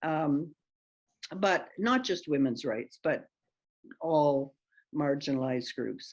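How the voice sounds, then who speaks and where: Her pace is very slow. This woman's pitch is very deep and low. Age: 80s+. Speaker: retired politician. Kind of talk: interview. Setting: video call.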